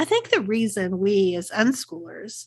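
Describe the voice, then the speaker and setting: In a Texas accent, a woman's somewhat breathy voice comes through against a quiet background. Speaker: podcast host, unschooling coach. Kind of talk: solo podcast talk, scripted.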